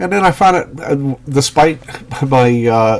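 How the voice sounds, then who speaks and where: A man speaks with lively intonation. Noticeable background noise is audible behind him. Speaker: comic art commentator. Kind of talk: casual talk to camera. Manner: hesitant, many fillers.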